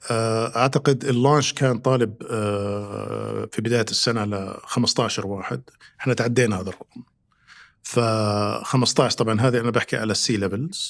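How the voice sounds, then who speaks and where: His voice sits at a medium pitch. This man keeps a moderate pace and fairly even intonation. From Saudi Arabia, Riyadh. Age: 50s. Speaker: consulting firm executive. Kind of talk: podcast interview. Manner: hesitant, many fillers.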